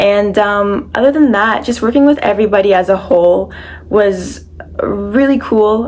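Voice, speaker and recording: A woman speaks over noticeable background noise. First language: French. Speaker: actress. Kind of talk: interview.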